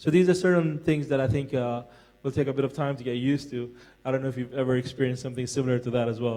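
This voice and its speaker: Speaking very fast, a man with an American accent keeps his intonation fairly even. His tone is dark and mellow. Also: medium pitch for a man. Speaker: forum panelist, military veteran. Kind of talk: panel discussion. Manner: halting.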